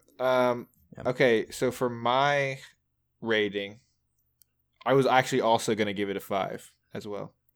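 A man's medium-pitched voice at a moderate pace, fairly even in intonation, with long, frequent pauses, on a very clean recording against a silent background. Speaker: podcast co-host. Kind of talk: casual chat, album discussion.

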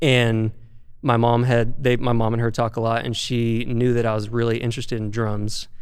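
A man with an American accent speaks at a medium pitch and moderate pace. His intonation is monotone and flat, and the room echo is audible. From Arkansas, US South. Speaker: touring rock drummer. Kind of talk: casual interview.

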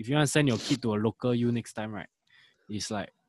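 A man at medium pitch has a plain, everyday voice with ordinary pitch variation. The very clean recording is dry and close, with no echo and a silent background. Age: 20s. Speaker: podcast co-host. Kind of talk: casual chat.

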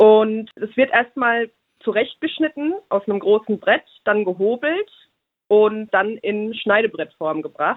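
The delivery is fairly slow, with lively intonation. It is an unremarkable speaking voice. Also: woman. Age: 30s. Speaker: small business owner. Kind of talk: interview.

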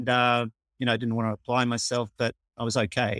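In an Australian accent, a man talks at a very fast pace and medium pitch, with a dry, close sound and no echo. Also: very clean recording, silent background. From Australia, Melbourne. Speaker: amateur cricketer and umpire. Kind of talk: casual interview.

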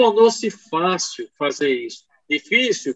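A man talks at a very slow pace in a high pitch. His intonation is lively. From Pernambuco, Brazil. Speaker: knee surgeon. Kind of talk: interview testimony. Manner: animated.

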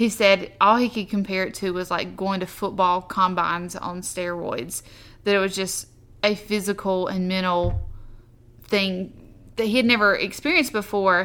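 With a Southern US accent, a woman speaks at medium pitch and a moderate pace. Her tone is bright and sharp, her intonation fairly even. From US South. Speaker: podcast host, army wife, entrepreneur. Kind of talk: casual chat.

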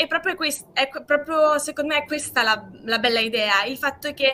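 A woman uses a raised, projected voice with ordinary pitch variation. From Trentino, northern Italy. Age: 20s. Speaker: law student, project founder. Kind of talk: casual interview.

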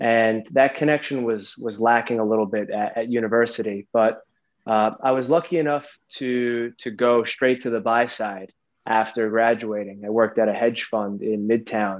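In an American accent, a man speaks at a medium pitch and moderate pace with fairly even intonation. He has an unremarkable speaking voice. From New York. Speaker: macroeconomic research analyst. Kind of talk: interview. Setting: video call.

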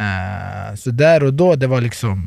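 An unremarkable speaking voice from a man, medium in pitch and fairly slow, with a dry, close sound and no echo. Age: 30s. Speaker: professional footballer. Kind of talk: casual chat. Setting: studio.

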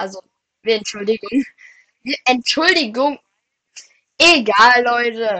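A woman's high-pitched voice has a bright, sharp tone and lively intonation, at a very slow pace with long, frequent pauses. The sound is dry and close, with no echo. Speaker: Minecraft gaming podcast co-host. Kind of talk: casual gameplay chat.

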